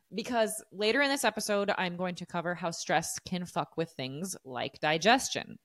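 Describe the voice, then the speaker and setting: A woman with an American accent and very wide pitch swings, in a very clean recording with a silent background and a dry, close sound with no echo. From desert region of the US. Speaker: fitness coach and podcast host. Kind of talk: solo podcast monologue, casual and educational.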